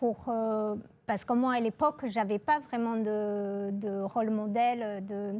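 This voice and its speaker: A woman's fairly high, fairly even voice at a very slow pace. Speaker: engineer and aerospace program director. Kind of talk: interview. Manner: hesitant, many filler sounds.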